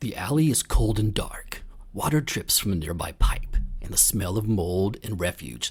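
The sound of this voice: The reading is delivered in an unforced voice.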